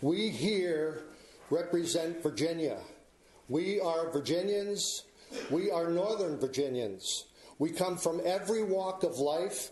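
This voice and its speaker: In a room with audible echo, a man talks at a very slow pace in a high voice with ordinary pitch variation and very even loudness. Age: 60s. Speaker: member of the public speaking at a hearing. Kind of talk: public hearing speech. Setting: public hearing before county board. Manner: formal.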